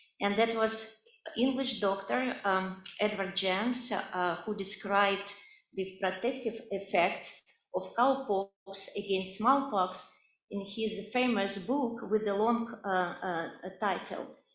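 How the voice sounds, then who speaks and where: At a very slow pace, a woman with a Russian accent speaks in a medium pitch and fairly even intonation, with audible room echo. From Siberia, Russia. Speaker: medical researcher. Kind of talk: lecture. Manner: halting, many fillers.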